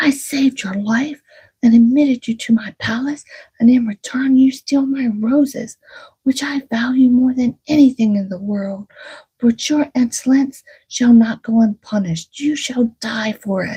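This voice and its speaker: In a put-on character voice, a female-sounding voice speaks at a high pitch for a woman and a moderate pace. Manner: terrible, angry.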